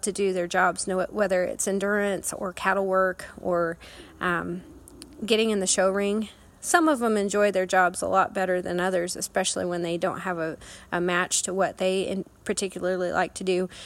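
Talking at a moderate pace, a woman with a Midwestern US accent keeps a medium pitch and monotone, flat intonation. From Kansas. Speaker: endurance rider. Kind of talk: recorded personal advice.

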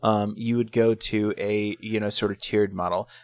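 A man with a fairly low pitch talks at a moderate pace in an ordinary speaking voice, the sound dry and close with no echo. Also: very clean recording, silent background. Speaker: podcast co-host. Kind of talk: casual chat. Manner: profane, joking.

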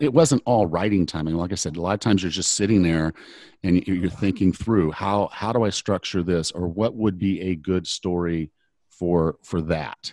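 Over a quiet background, a man with a very deep, low voice talks at a moderate pace with ordinary pitch variation, the sound dry and close with no echo. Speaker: online fitness coach. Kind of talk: interview. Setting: remote call.

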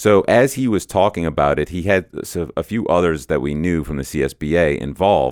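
The speaker moves at a fairly quick pace with lively intonation, vocal fry and hardly any pauses. The recording is very clean, with a silent background. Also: man, very deep, low pitch for a man. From New Orleans, Louisiana. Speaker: esports team owner. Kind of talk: interview conversation.

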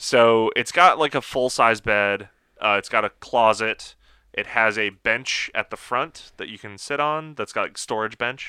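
Recorded very cleanly against a silent background, a man speaks at a fairly slow pace in a medium pitch, with ordinary pitch variation and big swings in loudness. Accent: American. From Michigan, US Midwest. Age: 30s. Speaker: car event organizer and automotive writer. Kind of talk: casual chat.

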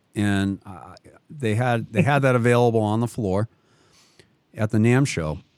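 Long, frequent pauses break up a man's moderate-paced speech. He talks at medium pitch in a Boston accent. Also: ordinary pitch variation. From Boston area, Massachusetts. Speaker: radio host. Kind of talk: casual chat, radio interview. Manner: warm, enthusiastic.

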